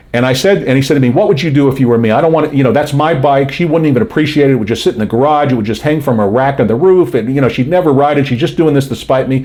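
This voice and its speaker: Talking very fast with hardly any pauses, a man with an American accent sounds animated at a fairly high pitch, with ordinary pitch variation. His loudness stays very even over noticeable background noise. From Florida, Miami Beach. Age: 60s. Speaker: self-help video host. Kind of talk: casual advice monologue.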